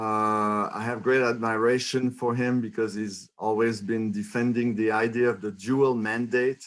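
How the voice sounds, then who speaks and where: A man with a French Canadian accent speaks at a fairly slow pace. His medium-pitched voice keeps a monotone, flat intonation. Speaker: economics professor. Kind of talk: lecture. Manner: halting.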